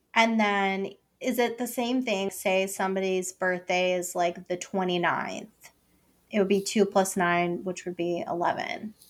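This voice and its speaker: This woman has an unremarkable speaking voice at a medium pitch. Her intonation stays fairly even. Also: fairly slow pace. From US Northeast, Puerto Rican family. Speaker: podcast host. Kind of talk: casual interview chat.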